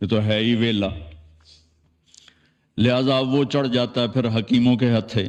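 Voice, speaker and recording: This man speaks at a medium pitch. He has a normal speaking voice. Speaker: Islamic preacher / religious scholar. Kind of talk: religious sermon (bayan). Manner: conversational, folksy, addressing audience.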